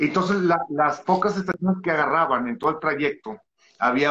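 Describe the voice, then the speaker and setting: A man talks at a fairly quick pace. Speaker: musician and singer. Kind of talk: interview.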